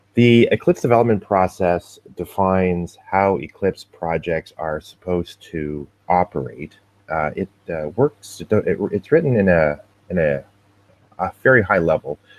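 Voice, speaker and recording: Recorded dry and close with no echo, a man speaks at a fairly slow pace in a very deep, low voice with ordinary pitch variation. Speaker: open source foundation staff presenter. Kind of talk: tutorial. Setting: live video webinar with screen share. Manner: hesitant, many fillers.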